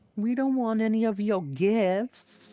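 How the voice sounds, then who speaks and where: This put-on character voice sits at a fairly high pitch and moves at a fairly slow pace. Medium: audio drama.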